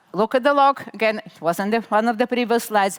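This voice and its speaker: A woman's normal speaking voice, fairly high in pitch with lively intonation, in a dry, close recording without echo. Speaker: conference speaker. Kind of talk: technical talk.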